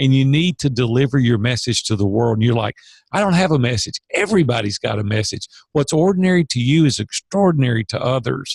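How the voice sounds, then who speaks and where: Speaking fairly quickly in a Southern US accent, a man with a somewhat breathy, medium-pitched voice uses lively intonation in a dry, close recording with no echo. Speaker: business coach. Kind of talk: podcast interview. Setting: podcast. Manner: animated.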